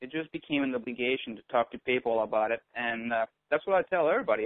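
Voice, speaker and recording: Speaking at a very fast pace, a man uses medium pitch with ordinary pitch variation. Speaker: network marketing leader. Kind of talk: conference call interview.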